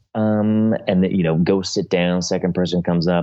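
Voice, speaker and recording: The man speaks at a moderate pace in a very deep, low voice. His intonation stays monotone and flat. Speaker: comedian and impressionist.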